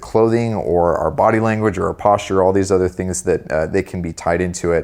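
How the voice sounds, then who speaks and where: On a very clean recording with a silent background, a man with a very deep, low pitch speaks fairly quickly with ordinary pitch variation. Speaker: men's style writer and custom menswear expert. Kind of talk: casual interview.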